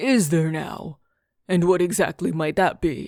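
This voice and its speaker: In a put-on character voice, a woman speaks raspily at a fairly low pitch. Her pace is fairly slow, on a very clean recording with a silent background. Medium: read story. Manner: skeptical, casually bold.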